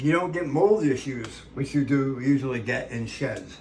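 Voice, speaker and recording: A man speaks at a moderate pace with lively intonation. It is an ordinary speaking voice. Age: 60s. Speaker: ranch channel host, home cook. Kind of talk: casual cooking tutorial with rambling chat. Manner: casual, conversational with fillers.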